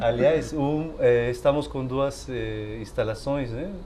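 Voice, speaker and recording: Speaking at a fairly slow pace, a man has a non-native accent. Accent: foreign accent in Portuguese. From Peru. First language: Spanish (speaking Portuguese). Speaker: storyteller. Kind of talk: casual interview. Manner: hesitant.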